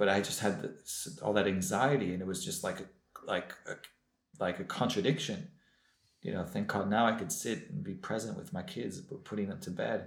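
Speaking with an American accent in a room with audible echo, a man uses a fairly low pitch, a moderate pace, lively intonation and a somewhat breathy voice. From US West Coast (Los Angeles). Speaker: former rabbi, recovering alcoholic. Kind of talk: testimony.

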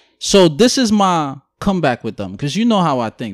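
A man with a New York accent and a fairly high pitch, at a moderate pace, with very wide pitch swings, on a very clean recording with a silent background. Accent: New York City. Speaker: podcast host. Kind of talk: casual banter podcast conversation.

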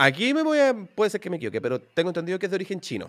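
With a Chilean accent, a man talks in very wide pitch swings. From Chile, Santiago. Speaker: programming teacher and YouTuber. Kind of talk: interview.

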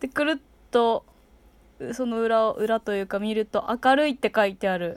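A woman's normal speaking voice, fairly high in pitch, with ordinary pitch variation, at a moderate pace, dry and close with no echo. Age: 20s. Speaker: podcast host. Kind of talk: casual chat.

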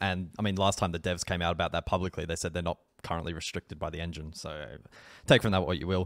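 Very fast speech from a man with a very deep, low pitch and a dry, close sound with no echo. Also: fairly even intonation, very clean recording, silent background. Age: 20s. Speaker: gaming podcast co-host. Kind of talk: casual chat.

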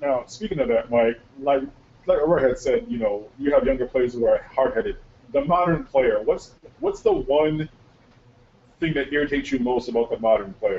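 A man speaks with an American accent at a moderate pace. His delivery has long, frequent pauses. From Connecticut. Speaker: semi-pro football podcast host. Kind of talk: casual sports podcast interview.

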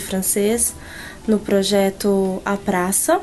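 Over music in the background, a woman speaks very slowly at medium pitch with monotone, flat intonation. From Brazil. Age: 30s. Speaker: French teacher. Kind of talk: testimony.

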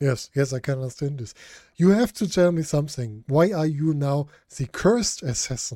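A man with a German accent speaks at a moderate pace in a fairly high pitch, his tone dark and mellow. His intonation is lively, and the recording is very clean with a silent background. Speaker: podcast host. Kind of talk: interview.

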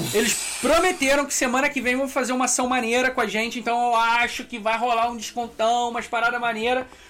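A man speaks in a raised, projected voice at an extremely high pitch and a fairly quick pace, with hardly any pauses. His intonation is fairly even, and there is noticeable background noise. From Brazil, Petrópolis (Rio de Janeiro state). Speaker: podcast host. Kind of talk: casual chat. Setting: live stream.

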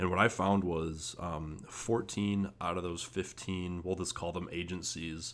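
A man speaks with a very deep, low pitch. His pace is fairly slow and his intonation is monotone and flat. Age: 20s. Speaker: agency owner. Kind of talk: monologue. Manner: halting, many fillers and repetitions.

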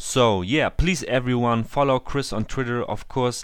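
The recording is very clean with a silent background. A man speaks in a German accent. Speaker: football podcast host. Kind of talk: interview. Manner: halting.

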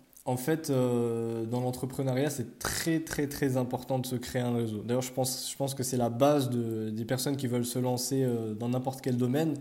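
With audible room echo, a man speaks at a moderate pace in a dark, mellow, monotone and flat voice. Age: 20s. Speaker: student. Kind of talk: casual chat.

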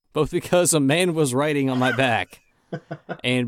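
A man speaks in an ordinary speaking voice at a moderate pace. His intonation is lively. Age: 30s. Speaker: podcast co-host. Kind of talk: casual chat.

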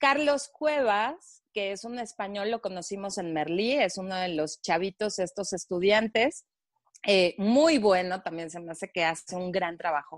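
In a Mexican accent, a woman at medium pitch talks with lively intonation at a fairly slow pace, the sound dry and close with no echo against a quiet background. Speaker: podcast host. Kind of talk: casual chat.

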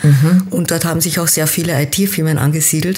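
A woman speaks at a fairly low pitch with fairly even intonation over noticeable background noise. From Austria, teen years in Kenya. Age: 50s. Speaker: business coach. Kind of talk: interview.

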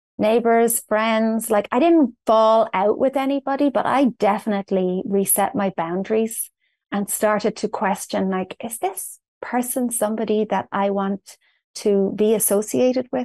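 With an Irish accent, a woman shows ordinary pitch variation in a dry, close sound with no echo and a quiet background. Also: fairly high pitch for a woman. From Ireland, north Dublin. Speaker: personal development coach. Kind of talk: interview.

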